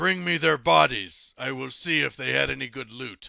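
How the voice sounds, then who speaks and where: This is a put-on character voice. A man performs it at a medium pitch. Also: moderate pace. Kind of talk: gruff, menacing.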